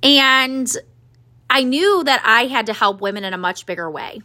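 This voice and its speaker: Her voice raised and projected, a woman with a high pitch speaks in an animated tone at a fairly slow pace. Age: 30s. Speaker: podcast host and business coach for women entrepreneurs. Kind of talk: solo podcast monologue.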